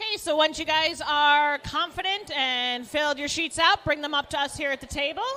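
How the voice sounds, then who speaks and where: Projecting her voice, a woman speaks at a moderate pace with a high pitch and ordinary pitch variation. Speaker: trivia co-host. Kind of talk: live trivia hosting at a brewery. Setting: brewery with live audience.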